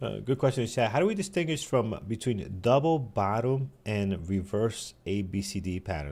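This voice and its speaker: On a very clean recording with a silent background, a man with a New York accent speaks at a moderate pace in a dark, mellow tone with lively intonation. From New York City. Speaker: day trading show host. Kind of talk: live trading show chat.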